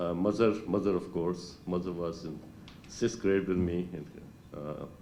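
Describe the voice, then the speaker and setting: With audible room echo, a man with a very deep, low pitch and a dark, mellow tone speaks at a fairly slow pace with fairly even intonation. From Pakistan, Lahore. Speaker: retired doctor at class reunion. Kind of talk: reunion speech. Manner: halting.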